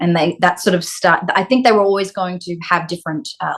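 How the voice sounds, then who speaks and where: Here is a woman with an Australian accent. Her voice sits fairly low in pitch. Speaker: actress. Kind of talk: interview.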